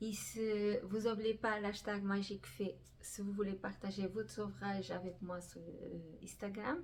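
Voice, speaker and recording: A woman talks at a fairly slow pace while noticeable background noise carries on around her. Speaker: crafting youtuber. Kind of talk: casual vlog talk. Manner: halting, many fillers.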